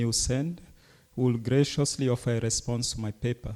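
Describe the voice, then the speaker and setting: This man has a dark, mellow tone and a medium pitch, speaking with a non-native accent. His pace is fairly quick and his intonation fairly even. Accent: foreign accent kept, non-native English. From Cameroon. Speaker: Jesuit priest and professor. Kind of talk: lecture. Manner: formal.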